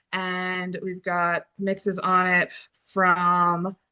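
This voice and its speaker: Loud and bright with a sharp tone, a woman's voice moves at a very slow pace. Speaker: livestream co-host and band team member. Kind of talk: casual chat on a livestream. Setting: video livestream from a barn. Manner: loud, carrying voice.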